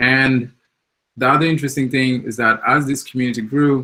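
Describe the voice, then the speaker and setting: Here a man talks at a medium pitch. His tone is bright and sharp. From Mozambique. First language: Portuguese. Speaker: software developer, community founder. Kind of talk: conference talk. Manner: hesitant, many fillers.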